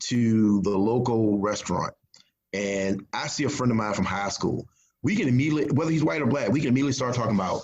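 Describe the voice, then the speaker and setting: Lively intonation marks a man speaking at a very fast pace. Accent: Virginia. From rural Virginia, US South. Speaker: crime novelist. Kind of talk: interview.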